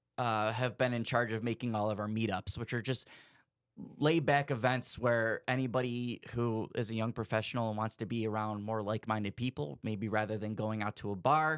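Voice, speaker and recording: A man speaks at medium pitch and a moderate pace. He has an unremarkable speaking voice. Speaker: radio DJ and wedding DJ. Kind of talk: casual podcast interview answer. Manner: upbeat, friendly, conversational.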